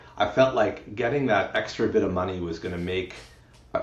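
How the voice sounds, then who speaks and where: Audible room echo surrounds a man with a somewhat breathy voice. He talks at a fairly quick pace with ordinary pitch variation. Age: 40s. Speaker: retired engineer. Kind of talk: interview.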